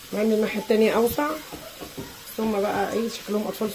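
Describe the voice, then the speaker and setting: A woman's fairly quick speech amid audible room echo and noticeable background noise. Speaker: cooking channel host. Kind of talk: cooking tutorial.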